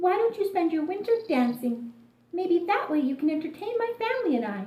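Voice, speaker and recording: Putting on a squeaky character voice, a woman talks at a fairly quick pace in an extremely high pitch with very wide pitch swings. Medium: read story. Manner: stern.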